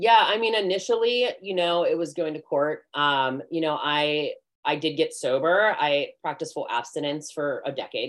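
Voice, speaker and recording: A woman talks at a moderate pace with hardly any pauses. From US, Pittsburgh area. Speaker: nurse practitioner and med spa owner. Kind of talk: interview, personal story. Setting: live stream.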